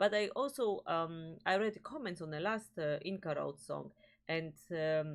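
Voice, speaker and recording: Her pitch fairly low and her pace fairly slow, a woman with a Polish accent speaks with lively intonation. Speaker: music reaction video host. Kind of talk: casual chat. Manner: halting, searching for words.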